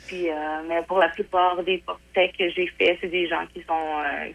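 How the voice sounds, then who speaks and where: Monotone and flat, a woman speaks at a very slow pace and a fairly low pitch. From Quebec, Portneuf. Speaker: painter. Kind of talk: interview. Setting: phone call.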